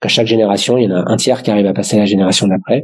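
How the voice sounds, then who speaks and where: This man talks very fast. His voice is fairly low-pitched. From Paris suburbs, France. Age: 40s. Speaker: family business governance consultant. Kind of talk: casual interview. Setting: remote recording from home.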